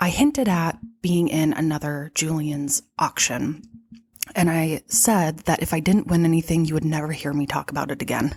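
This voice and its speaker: With a very deep, low pitch, a woman speaks at a moderate pace with ordinary pitch variation. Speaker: podcast host and vintage shop owner. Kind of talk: solo podcast monologue. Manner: animated.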